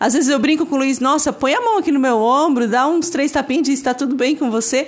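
The woman speaks with a high pitch. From northeast Brazil (Ceará). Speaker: podcast guest, host's wife. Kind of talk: casual faith-based book discussion.

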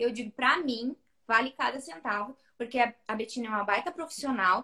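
Bright and sharp in tone, the voice moves at a moderate pace. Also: woman. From Rio Grande do Sul, Brazil (Santa Vitória do Palmar). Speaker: pelvic physiotherapist. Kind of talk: casual chat.

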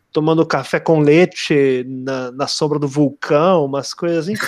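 A man speaks with a fairly high pitch. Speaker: literature podcast co-host. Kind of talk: casual chat.

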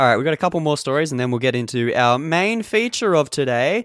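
This man's pitch swings very widely as he talks. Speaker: film podcast co-host. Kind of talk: casual chat. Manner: animated.

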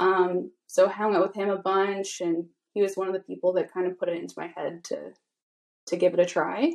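A woman with an ordinary speaking voice, medium pitch, fairly even intonation, and a fairly quick pace. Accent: Canadian. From Vancouver Island, Canada. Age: 20s. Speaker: tattoo artist. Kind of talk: casual chat.

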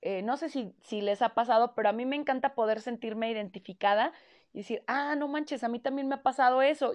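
A woman with a Mexican accent speaks at a high pitch. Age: 20s. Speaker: podcast host. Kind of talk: casual monologue.

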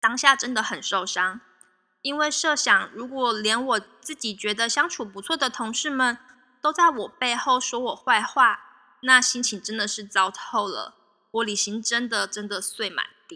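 A woman speaks at a fairly slow pace in a high pitch, with ordinary pitch variation. Her loudness swings widely. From Taiwan. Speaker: podcast host. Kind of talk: solo podcast storytelling.

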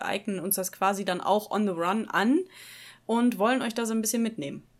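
This is a normal speaking voice from a woman, fairly high in pitch with ordinary pitch variation, at a moderate pace. The recording is very clean, with a silent background. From Ruhr area, Germany (Dortmund). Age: 30s. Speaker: podcast co-host. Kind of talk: casual chat.

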